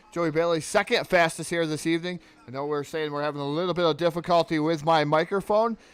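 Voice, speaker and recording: Music plays behind a man who talks at a fairly quick pace. His pitch is high and his intonation fairly even. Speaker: sim racing commentator. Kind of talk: live commentary. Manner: soft.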